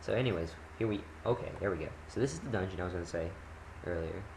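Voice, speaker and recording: At a fairly quick pace, a man with a very deep, low pitch speaks with ordinary pitch variation amid audible room echo. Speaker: gaming commentator. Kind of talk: gameplay commentary. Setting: recording at home. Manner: loud; casual, rambling with fillers.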